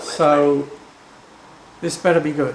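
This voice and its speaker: In an English accent, a man speaks very slowly amid audible room echo and noticeable background noise. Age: 60s. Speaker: travel vlogger. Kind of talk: travel vlog narration. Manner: animated.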